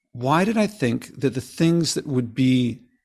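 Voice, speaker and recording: A man's voice with vocal fry and very wide pitch swings, on a very clean recording with a silent background. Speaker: author and sustainability advocate. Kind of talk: interview.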